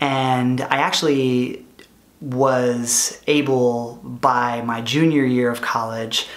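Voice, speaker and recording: A man's voice in a monotone, flat intonation. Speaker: product manager and former entrepreneur. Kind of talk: vlog monologue. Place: home room.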